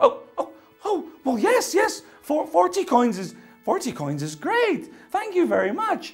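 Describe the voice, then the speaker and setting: Over faint music in the background, a squeaky, put-on character voice speaks at a moderate pace. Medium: read story. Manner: stammering, excitable.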